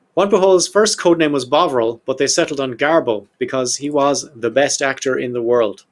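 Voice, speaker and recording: A man with an Irish accent, a fairly high pitch, lively intonation and a moderate pace. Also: hardly any pauses. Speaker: podcast host. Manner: storyteller, conversational.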